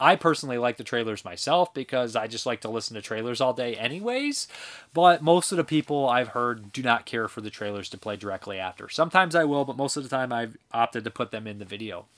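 A man's medium-pitched voice at a very fast clip, with lively intonation, big jumps in volume and hardly any pauses. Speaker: movie reviewer. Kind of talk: casual monologue review. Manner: casual, filler-heavy, conversational.

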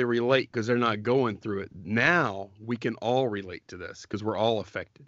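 At a moderate pace, a man talks in an ordinary speaking voice at medium pitch, with ordinary pitch variation. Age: 40s. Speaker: podcast co-host, online reseller. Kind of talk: casual chat.

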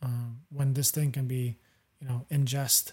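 A man talks at medium pitch in a somewhat breathy voice with monotone, flat intonation. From Europe. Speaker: podcast host. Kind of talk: casual chat.

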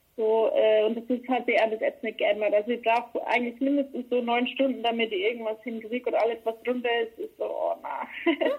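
Speaking at a fairly quick pace with hardly any pauses, a woman keeps a high pitch and fairly even intonation. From Bavaria, Cham district. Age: 20s. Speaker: pop singer. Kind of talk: interview. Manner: casual with frequent fillers.

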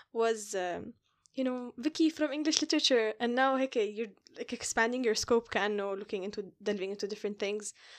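Over a quiet background, a woman with an Arabic accent speaks at a fairly quick pace and a fairly high pitch, with ordinary pitch variation. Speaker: podcast host. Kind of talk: casual chat, code-switching Arabic and English.

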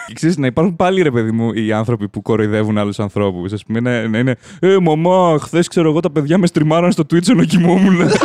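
The voice moves at a fairly quick pace with hardly any pauses and very wide pitch swings. Noticeable background noise sits behind it. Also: man, fairly high pitch for a man. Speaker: podcast host. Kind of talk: casual chat. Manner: animated.

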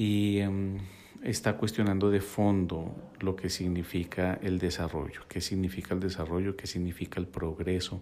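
A man with a very deep, low pitch and a dark, mellow tone speaks fairly slowly in a flat monotone. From Colombia, Bogotá (born in Quito, Ecuador). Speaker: psychologist and podcast host. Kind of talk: reflective solo podcast monologue. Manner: hesitant, many filler sounds.

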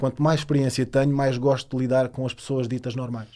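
This is a man's voice at medium pitch. Its tone is dark and mellow. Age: 30s. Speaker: personal trainer. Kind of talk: casual chat.

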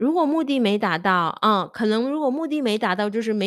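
Speaking with a non-native accent, a woman talks at a fairly quick pace and a fairly high pitch with lively intonation, on a very clean recording with a silent background. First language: not Chinese (speaking Chinese). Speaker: Chinese language teacher and podcast host. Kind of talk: casual solo monologue. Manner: halting, many fillers.

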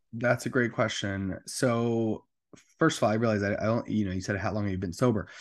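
Over a quiet background, a man with an American accent and a plain, everyday voice talks fairly quickly at a fairly low pitch with fairly even intonation. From New Jersey. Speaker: adult film performer and comedian in recovery. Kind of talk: casual interview, personal testimony.

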